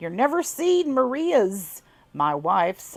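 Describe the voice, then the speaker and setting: A woman's put-on character voice in a Southern US accent, drawling at a fairly slow pace, high-pitched, with very wide pitch swings. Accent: southern twang. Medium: read story. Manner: drawling, folksy dialect.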